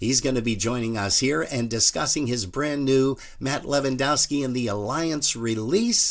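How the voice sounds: A man's medium-pitched voice with ordinary pitch variation, at a moderate pace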